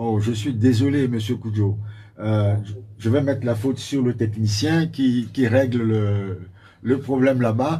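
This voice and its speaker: A man speaks at a fairly slow pace in a dark, mellow tone that is somewhat breathy. His intonation stays fairly even, and the room echo is audible. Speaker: party spokesperson. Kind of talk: radio interview. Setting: radio studio. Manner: quiet; halting. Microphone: too quiet.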